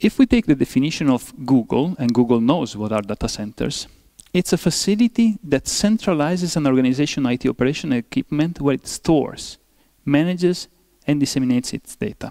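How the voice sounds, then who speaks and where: In a very clean recording with a silent background, a man with an Italian accent and fairly high pitch talks at a fairly quick pace. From Italy. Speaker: professor. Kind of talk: lecture. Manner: halting, many fillers.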